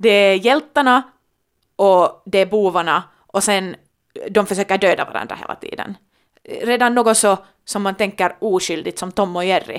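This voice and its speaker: On a very clean recording with a silent background, a woman speaks in an ordinary speaking voice at a medium pitch. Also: ordinary pitch variation, moderate pace. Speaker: podcast co-host, daughter. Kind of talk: casual chat.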